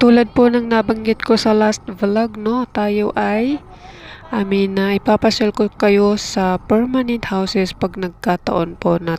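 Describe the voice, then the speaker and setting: A woman's medium-pitched voice, with ordinary pitch variation, moves at a fairly slow pace. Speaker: travel vlogger. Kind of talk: vlog narration while riding. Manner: hesitant, many fillers.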